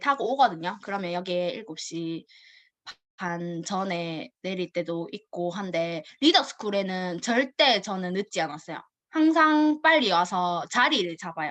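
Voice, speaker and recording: Her intonation is lively and her pace fairly slow. This woman talks at a medium pitch. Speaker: network marketing distributor. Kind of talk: personal story presentation. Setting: video call.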